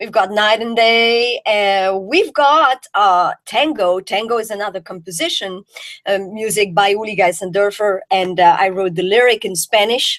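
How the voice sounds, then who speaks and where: A woman with a French accent speaks at a moderate pace and medium pitch with ordinary pitch variation, the sound dry and close with no echo in a very clean recording with a silent background. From Belgium. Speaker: jazz singer. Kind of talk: interview.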